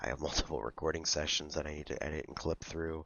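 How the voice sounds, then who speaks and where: Very deep and low, a man's voice carries vocal fry. His intonation stays monotone and flat. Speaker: gaming youtuber. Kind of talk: let's play commentary. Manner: hesitant with fillers.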